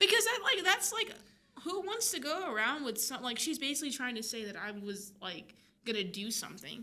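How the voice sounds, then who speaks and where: A woman's high, raised, projected voice with a bright, sharp tone swings very widely in pitch at a fairly quick pace, with audible room echo. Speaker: filmmaker. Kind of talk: casual chat. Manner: energetic, fast.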